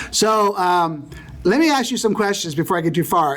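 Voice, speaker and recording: Noticeable noise sits in the background. The man's pace is moderate. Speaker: Bible teacher. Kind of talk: lecture.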